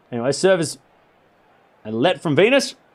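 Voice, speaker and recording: With an Australian accent, a man speaks with very wide swings in pitch. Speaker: tennis live-stream commentator. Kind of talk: live play-by-play commentary. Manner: casual, joking.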